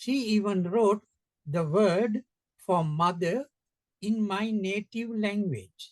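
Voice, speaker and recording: A man's high-pitched voice in a Sri Lankan accent, at a very slow pace with long, frequent pauses, ordinary pitch variation, and a dry, close sound with no echo. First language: Sinhala. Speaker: education center founder. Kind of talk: interview conversation.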